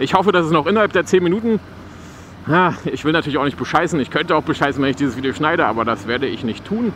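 Over faint background noise, a man speaks at a fairly quick pace in a fairly bright tone.

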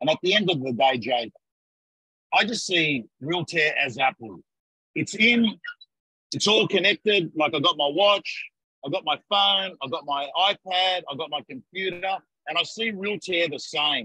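Against a quiet background, a man with an Australian accent speaks fairly slowly in a high, bright, sharp voice with lively intonation and long, frequent pauses, the sound dry with no echo. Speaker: real estate coach. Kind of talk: live webinar chat. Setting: video call. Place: office. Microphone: video call.

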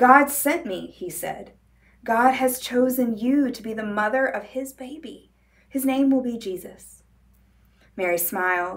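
At a fairly slow pace, a woman speaks. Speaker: librarian or storyteller. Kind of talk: story reading to children. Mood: warm, gentle, cheerful. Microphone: lapel.

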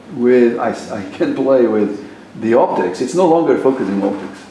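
A man with a Portuguese accent at a moderate pace, with audible room echo and light background noise. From Portugal. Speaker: professor. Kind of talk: lecture. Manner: halting. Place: classroom. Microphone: camera far.

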